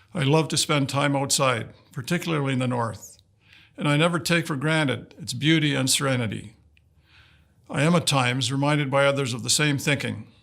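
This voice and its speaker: This man has a Canadian accent and a fairly high pitch. He talks at a fairly quick pace with fairly even intonation. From northern Saskatchewan, Canada. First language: Woodland Cree. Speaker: dignitary giving greetings. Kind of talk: prepared formal address. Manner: formal.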